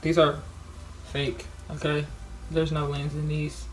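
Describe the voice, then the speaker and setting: A woman talks very slowly. Her voice carries audible room echo. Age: young. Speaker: vlogger. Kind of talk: casual vlog monologue. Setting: dorm room. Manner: loud.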